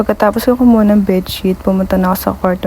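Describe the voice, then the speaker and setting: Over noticeable background noise, a woman speaks at medium pitch in a monotone, flat way. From Philippines. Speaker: vlogger, domestic worker and babysitter. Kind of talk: vlog narration. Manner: shy.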